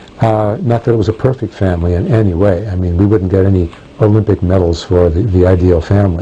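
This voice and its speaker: Noticeable background noise fills the recording. Over it, a man speaks at a very fast pace with fairly even intonation. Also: fairly low pitch for a man, very even loudness. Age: 60s. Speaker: professor of religion. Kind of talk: interview answering prepared questions. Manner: halting with many fillers.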